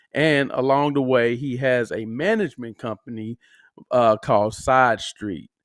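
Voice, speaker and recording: With an American accent, a man speaks fairly slowly at a medium pitch with ordinary pitch variation, in an unremarkable speaking voice. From Kansas City. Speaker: podcast host. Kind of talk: casual interview. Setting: remote call.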